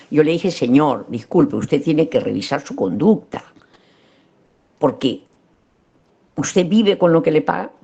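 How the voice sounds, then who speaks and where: A woman's very deep, low voice with vocal fry and very wide pitch swings, at a moderate pace with long, frequent pauses. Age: 80s+. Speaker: psychologist lecturer. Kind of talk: lecture.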